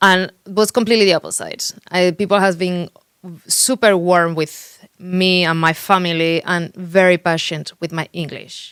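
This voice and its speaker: A woman with a strong Spanish accent speaks at a fairly slow pace, her pitch fairly low and her intonation fairly even. The sound is dry and close, with no echo. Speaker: real estate agent. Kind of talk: interview. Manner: halting.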